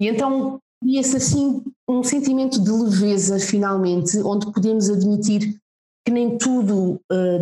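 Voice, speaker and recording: A somewhat breathy woman with medium pitch and a dark, mellow tone speaks at a fairly slow pace with ordinary pitch variation, in a dry, close sound with no echo. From Portugal (Lisbon), teen years in Macau. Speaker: communications adviser, mother. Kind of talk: casual interview chat.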